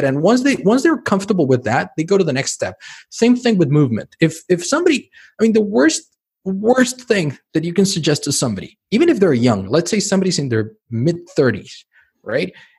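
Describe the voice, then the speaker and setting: A man talks at a fairly quick pace and a high pitch. His pitch swings very widely. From Mexico City. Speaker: physician. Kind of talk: interview conversation. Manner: repetitive, stammering restarts.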